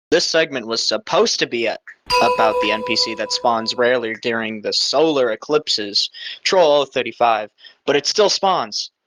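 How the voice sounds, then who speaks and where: There is music in the background. Over it, a man speaks at a moderate pace. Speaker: gaming video narrator. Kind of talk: scripted narration. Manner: halting.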